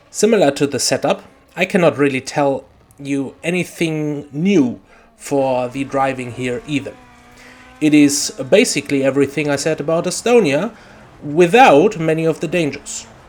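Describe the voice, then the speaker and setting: Someone talks at a moderate pace with ordinary pitch variation against noticeable background noise. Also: man, fairly high pitch for a man. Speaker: sim racing video creator. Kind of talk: tutorial.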